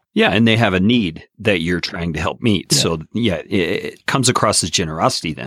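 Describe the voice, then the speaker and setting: On a very clean recording with a silent background, a man with a plain, everyday voice and a fairly low pitch talks at a fairly quick pace, with lively intonation and hardly any pauses. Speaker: podcast host. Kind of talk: casual interview chat.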